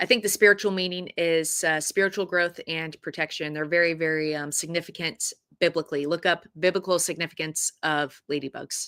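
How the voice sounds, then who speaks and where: With hardly any pauses, a woman talks at a fairly quick pace in a fairly low, bright and sharp voice with fairly even intonation, recorded dry and close with no echo. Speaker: livestream Bible teacher. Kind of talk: Bible study livestream reading chat. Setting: livestream. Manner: halting, repeats words.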